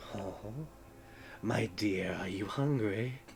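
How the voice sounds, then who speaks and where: Over clear background noise, a man puts on a character voice with a fairly low pitch. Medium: actual play. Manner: cold, imperious.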